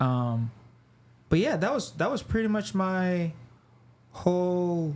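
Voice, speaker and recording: This man speaks very slowly at a high pitch, his pitch swinging very widely. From Nigeria, moved to Canada then Texas as a child. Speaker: artist and designer. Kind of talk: podcast interview. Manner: casual, halting with many fillers.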